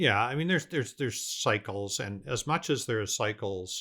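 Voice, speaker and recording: A man with a Canadian accent speaks at a moderate pace, his fairly low pitch carrying a bright, sharp tone and some vocal fry. His intonation is lively, and the recording is very clean with a silent background. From Canada, Vancouver. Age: 60s. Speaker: business owner. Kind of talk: casual interview chat.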